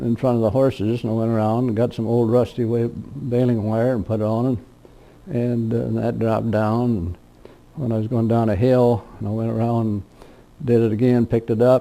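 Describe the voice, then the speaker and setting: With a Midwestern US accent, a man speaks at a moderate pace in a medium-pitched, dark, mellow voice and a monotone, flat intonation. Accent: rural Midwestern American. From Indiana, US Midwest. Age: 80s+. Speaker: retired county official recalling farm life. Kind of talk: oral history interview. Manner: halting, many fillers.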